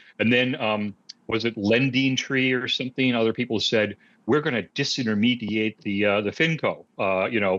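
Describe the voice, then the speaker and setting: A man with an American accent speaks at medium pitch and a moderate pace. His intonation is fairly even, and his loudness stays very even. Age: 60s. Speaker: automotive researcher. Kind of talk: podcast interview. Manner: hesitant, many fillers.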